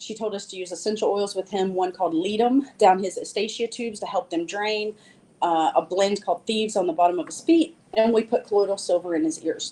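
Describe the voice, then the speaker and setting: With an American accent, a woman speaks at a fairly quick pace in a medium-pitched voice with a dark, mellow tone and ordinary pitch variation. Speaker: herbalist. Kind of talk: presentation. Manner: fast.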